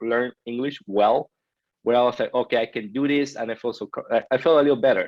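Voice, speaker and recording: The speaker, with a Peruvian accent, moves at a fairly quick pace with ordinary pitch variation. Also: man. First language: Spanish. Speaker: podcast guest. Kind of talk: interview. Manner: halting, with many self-corrections.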